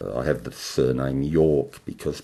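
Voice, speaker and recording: A man talks with an Australian accent. His very deep, low pitch stays monotone and flat. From Melbourne, Australia. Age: 60s. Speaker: oral historian. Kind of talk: oral history monologue. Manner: halting.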